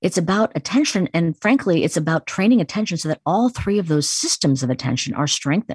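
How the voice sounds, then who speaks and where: A woman with an American accent speaks at a fairly quick pace in a fairly low, somewhat breathy voice with lively intonation, the sound dry and close with no echo over a quiet background. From US Midwest, Chicago. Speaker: neuroscientist, psychology professor. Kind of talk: interview.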